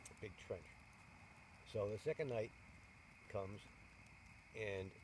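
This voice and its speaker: Using an unremarkable speaking voice, a man with an American accent speaks at a fairly slow pace and fairly low pitch, with ordinary pitch variation. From New York State. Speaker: war veteran. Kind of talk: interview answer. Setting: outdoors. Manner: casual, rambling.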